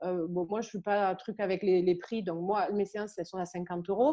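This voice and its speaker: At a fairly quick pace, a woman speaks. Her pitch is medium. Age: 30s. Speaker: therapist and energy healer. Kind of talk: interview. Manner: hesitant, many fillers.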